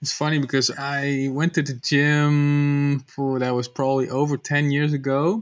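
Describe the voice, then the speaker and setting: With hardly any pauses, a man talks fairly slowly in a fairly high, monotone, flat voice. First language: not English. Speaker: podcast host, company co-founder. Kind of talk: scripted intro; interview.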